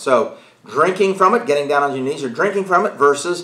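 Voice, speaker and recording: Audible room echo around a man speaking at a fairly quick pace. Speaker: Bible study teacher. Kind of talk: lecture. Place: home room.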